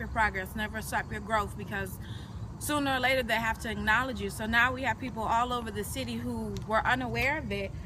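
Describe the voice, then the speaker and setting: The speaker, with an American accent, comes through noticeable background noise and audible room echo. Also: woman. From Detroit, Michigan, US. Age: 20s. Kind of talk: personal interview. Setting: outdoors.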